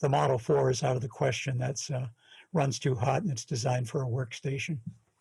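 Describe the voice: A man puts on a character voice that is hoarse and raspy, set at a medium pitch. He moves at a fairly quick pace with fairly even intonation.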